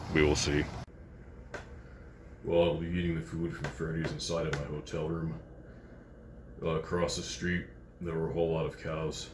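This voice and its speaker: A man speaks at a moderate pace in a very deep, low voice, monotone and flat, with long, frequent pauses. Noticeable background noise and audible room echo fill the recording. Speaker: food review vlogger. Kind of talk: casual vlog commentary. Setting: hotel room. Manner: halting, many fillers.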